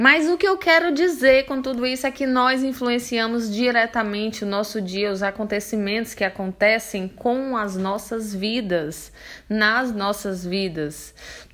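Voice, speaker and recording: A woman's unremarkable speaking voice, fairly high in pitch, at a fairly slow pace with hardly any pauses. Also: lively intonation. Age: 30s. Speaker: motivational video creator. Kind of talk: motivational monologue. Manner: informal, direct address to viewers.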